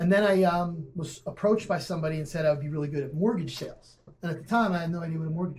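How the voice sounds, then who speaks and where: With an American accent, a man talks very fast with hardly any pauses, his high-pitched voice fairly even in intonation but swinging widely in loudness. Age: 40s. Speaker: graphic designer and entrepreneur. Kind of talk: casual interview.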